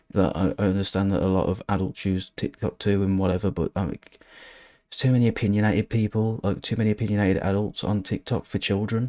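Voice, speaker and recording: Very fast delivery in a West Midlands accent, dark and mellow in tone, with fairly even intonation and a dry, close sound with no echo on a very clean recording with a silent background. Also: man. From England, West Midlands. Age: 20s. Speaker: social media commentator. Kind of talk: casual commentary. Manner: halting.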